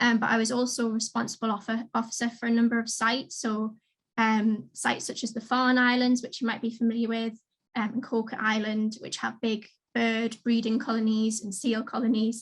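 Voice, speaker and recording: A slight Geordie accent with monotone, flat intonation and a fairly quick pace, in a very clean recording with a silent background. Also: woman, fairly high pitch for a woman. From northern England, Newcastle. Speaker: marine conservation adviser. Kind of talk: careers talk.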